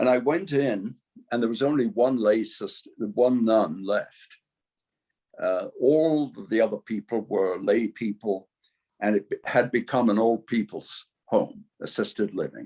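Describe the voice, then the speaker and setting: A man talks with an English accent. His pace is fairly slow. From England. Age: 80s+. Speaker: lifestyle coach. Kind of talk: interview testimony.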